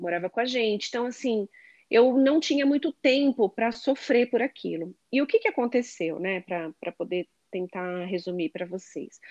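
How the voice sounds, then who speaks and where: Her fairly high voice swings very widely in pitch as this woman talks at a moderate pace, the sound dry and close with no echo. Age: 40s. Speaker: sales manager. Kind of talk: casual chat.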